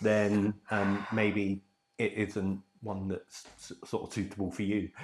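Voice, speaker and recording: A man speaks very slowly with an English accent. His fairly low voice stays monotone and flat. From England. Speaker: dental patient. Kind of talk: testimonial. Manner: hesitant, many fillers.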